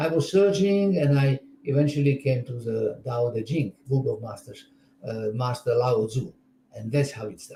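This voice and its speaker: A man at medium pitch has a dark, mellow tone and is somewhat breathy. His intonation is lively. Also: moderate pace, big swings in loudness. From Czechoslovakia. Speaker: spiritual teacher. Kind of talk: interview. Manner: halting.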